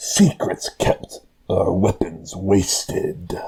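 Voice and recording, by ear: A man drags out his words very slowly in a put-on character voice.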